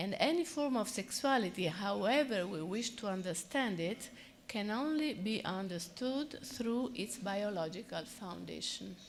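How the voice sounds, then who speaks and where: A woman in an Italian accent, with lively intonation at a fairly slow pace and audible room echo. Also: medium pitch for a woman, hardly any pauses. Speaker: psychoanalyst. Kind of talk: conference talk.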